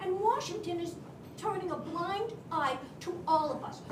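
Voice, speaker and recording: Noticeable background noise and audible room echo surround a woman speaking at an extremely high pitch. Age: 70s. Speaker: audience member at a town hall. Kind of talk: public comment at a town hall. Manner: impassioned.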